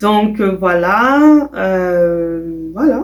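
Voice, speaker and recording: The pitch of this woman's speech rises and falls across very wide swings. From Quebec, Canada (Burundian parents). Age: young. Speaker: vlogger. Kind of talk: casual self-introduction vlog. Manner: hesitant, many fillers.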